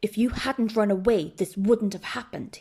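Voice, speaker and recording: Growling in a put-on character voice, a woman talks at a moderate pace with a fairly high pitch. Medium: read story. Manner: gruff.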